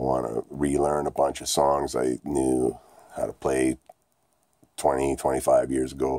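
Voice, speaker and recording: A man speaks very slowly in a very deep, low, monotone voice with long, frequent pauses. The sound is dry with no echo, and the background is quiet. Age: 40s. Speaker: vlogger. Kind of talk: casual vlog monologue. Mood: ranting, frustrated at times. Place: home room. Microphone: phone near.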